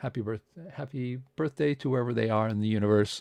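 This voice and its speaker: The man's medium-pitched voice has ordinary pitch variation, set against a quiet background. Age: 60s. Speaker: science organization host. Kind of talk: live online presentation. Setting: live stream from home. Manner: hesitant, many fillers.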